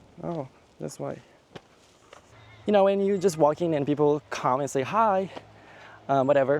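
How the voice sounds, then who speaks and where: Speaking with a Japanese accent at a moderate pace, this voice uses ordinary pitch variation and leaves long, frequent pauses. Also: man, fairly high pitch for a man. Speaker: travel vlogger. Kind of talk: casual vlog narration. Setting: outdoors.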